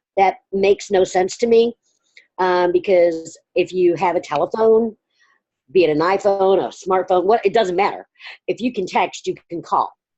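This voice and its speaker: In a Southern US accent, a woman speaks at a medium pitch with a dark, mellow tone and fairly even intonation. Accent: Southern drawl. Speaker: direct sales consultant. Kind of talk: group coaching call.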